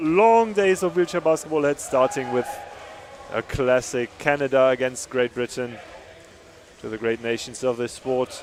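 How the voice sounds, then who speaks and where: A man with a German accent speaks fairly slowly in a fairly high pitch with lively intonation. Noticeable background noise runs underneath. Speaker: sports commentator. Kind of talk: live commentary.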